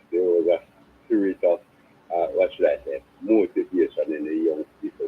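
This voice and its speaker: A man at a moderate pace with a Jamaican accent. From Jamaica, South Trelawney. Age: 70s. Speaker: caller. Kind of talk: phone-in call. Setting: phone call.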